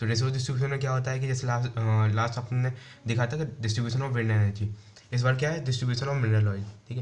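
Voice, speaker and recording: A man's somewhat breathy, medium-pitched voice at a very fast pace, flat and monotone in intonation, with audible room echo. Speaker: UPSC exam answer-writing teacher. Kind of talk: tutorial. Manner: casual, many fillers.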